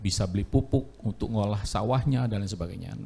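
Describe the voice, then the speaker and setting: This man's voice is fairly low in pitch with a dark, mellow tone. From Central Java (Gombong). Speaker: farming training participant. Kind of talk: self-introduction. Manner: halting.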